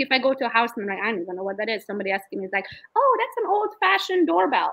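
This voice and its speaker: Fairly high-pitched and animated, a woman with a Romanian accent talks at a very fast pace, her pitch swinging very widely. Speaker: real estate agent. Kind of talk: interview.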